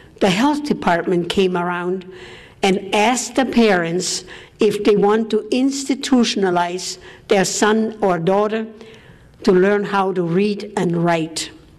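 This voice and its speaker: A woman speaks at a fairly slow pace and medium pitch. Audible room echo surrounds her voice. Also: ordinary pitch variation. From Austria. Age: 80s+. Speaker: war survivor. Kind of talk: speech.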